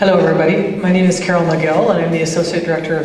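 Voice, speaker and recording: Over noticeable background noise and audible room echo, a woman talks very fast in a fairly low voice. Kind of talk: roundtable discussion.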